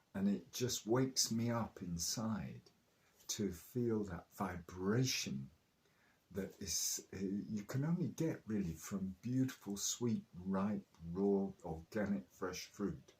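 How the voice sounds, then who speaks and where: Here a man with a southern English accent talks very slowly at a fairly low pitch. His voice is somewhat breathy, with lively intonation. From southern England, Oxfordshire/Chilterns. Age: 70s. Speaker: raw food enthusiast. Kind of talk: interview.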